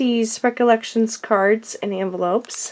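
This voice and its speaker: Noticeable background noise accompanies a woman who speaks at a fairly slow pace with ordinary pitch variation. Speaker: crafting video creator. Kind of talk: show-and-tell tutorial. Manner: casual, hesitant with fillers.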